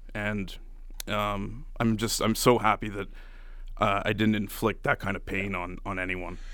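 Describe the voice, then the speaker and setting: A man with a Canadian accent speaks fairly slowly in a fairly low pitch, his tone bright and sharp and his intonation monotone and flat. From Canada, Ottawa. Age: 30s. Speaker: radio show producer. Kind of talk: testimony.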